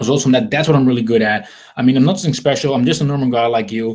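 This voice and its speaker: A man speaks at medium pitch with a Dutch accent. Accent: Dutch accent, noticeable. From Netherlands. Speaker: online marketing trainer. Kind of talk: webinar sales presentation. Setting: live webinar. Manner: halting, many repetitions and fillers.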